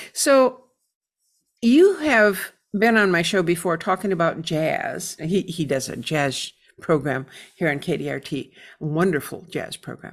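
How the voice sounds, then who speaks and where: A woman's fairly low voice in an American accent, an unremarkable speaking voice with lively intonation at a fairly slow pace, on a very clean recording with a silent background. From Michigan, US. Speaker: radio host. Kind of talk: radio dj patter, warm welcoming host intro. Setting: radio studio broadcast. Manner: friendly, chatty, upbeat.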